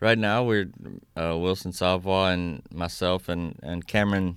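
With a south Louisiana accent, a man speaks in a very deep, low pitch and fairly even intonation on a very clean recording with a silent background. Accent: south Louisiana Cajun English. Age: 30s. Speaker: Cajun fiddler. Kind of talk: interview. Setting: radio studio.

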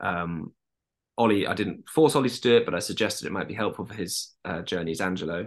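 Against a quiet background, a man with a southern English accent and a fairly low pitch talks at a very fast pace, with ordinary pitch variation and big swings in loudness. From London. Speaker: actor. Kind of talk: casual chat.

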